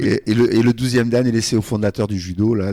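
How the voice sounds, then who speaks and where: In a dry, close recording with no echo, a man with a dark, mellow tone speaks at a very fast pace. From Morocco (French family). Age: 60s. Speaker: judo club founder and coach. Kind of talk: radio interview. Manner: hesitant, many fillers.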